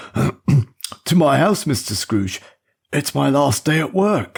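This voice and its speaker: A man's raspy, fairly high put-on character voice, very slow, with very wide pitch swings. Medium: read story. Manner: nervous, deferential.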